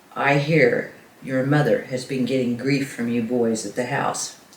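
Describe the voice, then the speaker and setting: In a raspy, put-on character voice, a man speaks at medium pitch and a moderate pace with fairly even intonation and slight echo. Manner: quiet, menacing warning.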